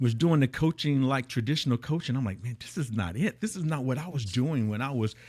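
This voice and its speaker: Here is a man with an ordinary speaking voice, medium pitch and ordinary pitch variation. The recording is very clean, with a silent background. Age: 60s. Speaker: high-performance coach. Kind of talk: podcast interview. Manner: repetitive false starts.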